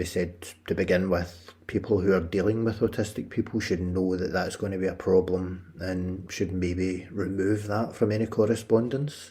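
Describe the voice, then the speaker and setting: With a Scottish accent, a man speaks in a very deep, low, somewhat breathy voice at a moderate pace, with fairly even intonation and hardly any pauses. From Scotland. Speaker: podcast host. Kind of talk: personal narrative podcast.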